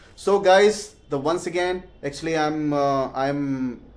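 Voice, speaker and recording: A man with an Indian accent, fairly high pitch and ordinary pitch variation. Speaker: English learner vlogger. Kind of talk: casual vlog. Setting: at home. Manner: halting.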